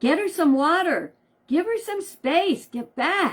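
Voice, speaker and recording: Using a put-on character voice, a woman talks fairly slowly at an extremely high pitch with lively intonation. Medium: read story.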